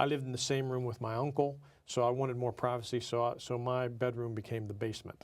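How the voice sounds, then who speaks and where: Speaking at a very fast pace, a man with an American accent keeps a medium pitch and a monotone, flat intonation. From Pittsburgh, Pennsylvania. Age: 60s. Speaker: entrepreneur. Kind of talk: interview. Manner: hesitant, many fillers.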